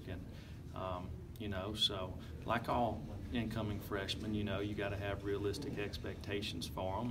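Loud background noise surrounds a man as he talks. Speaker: football coach. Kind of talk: interview answer. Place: hall. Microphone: handheld.

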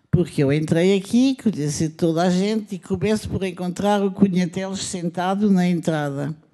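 Against a quiet background, a woman with a dark, mellow tone speaks at a fairly slow pace with lively intonation. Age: 70s. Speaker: film editor and director; panelist. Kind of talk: panel testimony. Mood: lively, humorous storytelling. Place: hall. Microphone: handheld.

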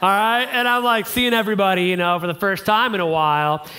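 A man speaks in a raised, projected voice at a fairly quick pace. His intonation is lively. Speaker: guest. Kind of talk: sermon. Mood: humorous storytelling. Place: church.

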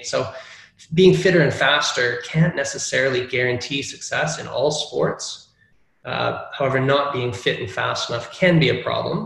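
Speech comes at a moderate pace. Room echo is audible. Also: man. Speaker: presenter. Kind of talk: lecture. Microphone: video call.

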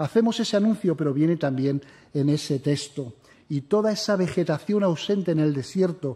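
A man speaks solemnly in a dark, mellow tone at a moderate pace with ordinary pitch variation. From Spain. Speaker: preacher. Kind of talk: sermon. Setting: church. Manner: formal, solemn pastoral tone. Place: church. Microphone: podium.

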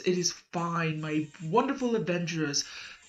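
A woman performs a put-on character voice at a fairly slow pace. Faint music plays in the background. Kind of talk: improvised character performance. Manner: cheerful, upbeat.

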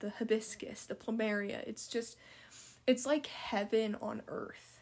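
Speaking very slowly, a woman with an American accent uses a fairly high voice. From Utah. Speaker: aspiring pilot and podcast host. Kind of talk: casual solo podcast monologue.

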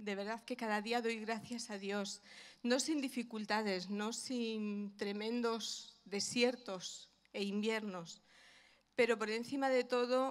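Over a quiet background, a woman speaks at a very slow pace. Her pitch is fairly high, and her intonation stays fairly even. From Spain, Madrid (Vallecas); Spain. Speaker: pastor's wife; guest. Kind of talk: testimony. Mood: warm, heartfelt. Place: church. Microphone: handheld.

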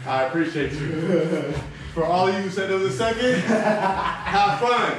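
With light background noise and audible room echo, a man talks at a moderate pace in a high pitch with ordinary pitch variation. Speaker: workout coach. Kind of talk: workout coaching chat. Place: garage. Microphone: camera far.

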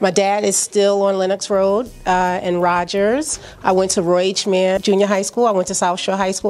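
A woman speaks with a New York accent. Her pace is moderate. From Brooklyn, New York (Flatbush). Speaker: small business owner. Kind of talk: interview. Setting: at her store during grand opening. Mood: warm, promotional. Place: shop. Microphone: handheld.

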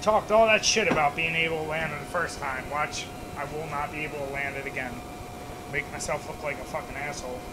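A man speaks at a very fast pace with ordinary pitch variation. Noticeable background noise runs behind him. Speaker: gaming streamer. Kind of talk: gameplay commentary. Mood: frustrated, swearing. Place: home room.

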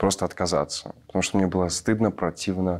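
A man talks in a very deep, low pitch with flat, monotone intonation. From Belarus. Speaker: actor; theatre actor. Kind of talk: panel discussion. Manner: halting. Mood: earnest, reflective. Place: stage. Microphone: lapel.

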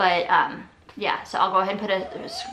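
With a fairly quick pace and fairly even intonation, a woman talks at a medium pitch in a fairly bright tone, with audible room echo.

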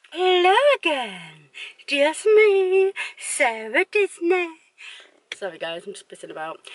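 Over noticeable background noise, a woman talks at a fairly slow pace, recorded with a dry sound and no echo. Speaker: vlogger. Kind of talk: casual vlog chat. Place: car. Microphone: phone near.

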